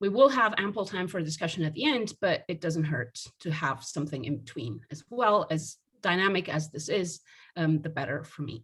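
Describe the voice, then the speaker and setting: A woman's ordinary speaking voice, fairly low in pitch, at a moderate pace with lively intonation. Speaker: sociology professor. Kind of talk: academic lecture.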